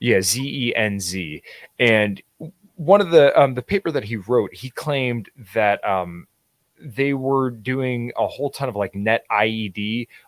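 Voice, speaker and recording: Lively intonation and a strong Pittsburgh accent come through in a dry, close sound with no echo. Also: man. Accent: thick Pittsburgh. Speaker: political commentator. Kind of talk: casual chat. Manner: hesitant, many fillers.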